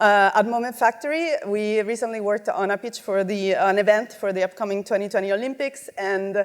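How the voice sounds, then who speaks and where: Speaking in an Italian accent, a woman with a fairly high pitch moves at a fairly quick pace with ordinary pitch variation. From Italy. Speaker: multimedia director and artist. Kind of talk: conference talk. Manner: casual, many fillers.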